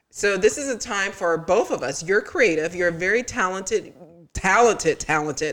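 A woman with a plain, everyday voice speaks at a moderate pace and medium pitch. She has an American accent and lively intonation. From US South, Tallahassee, Florida. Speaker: podcast co-host, social worker. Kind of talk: casual chat. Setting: studio.

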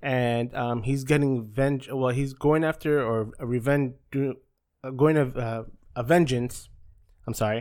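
A man's medium-pitched voice, an ordinary speaking voice, fairly slow with fairly even intonation. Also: very clean recording, silent background. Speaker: podcast host. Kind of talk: casual chat.

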